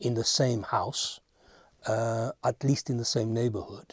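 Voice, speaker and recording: On a very clean recording with a silent background and a dry, close sound with no echo, a man with a dark, mellow tone speaks at a fairly slow pace and is somewhat breathy. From Spain. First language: Spanish. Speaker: interviewee. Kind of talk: interview answer.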